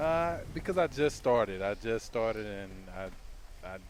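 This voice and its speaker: With a Southern US accent, a man talks at a fairly slow pace, his fairly low voice showing ordinary pitch variation. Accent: Southern twang. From US South, Georgia. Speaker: gaming streamer. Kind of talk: casual chat. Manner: halting, many fillers.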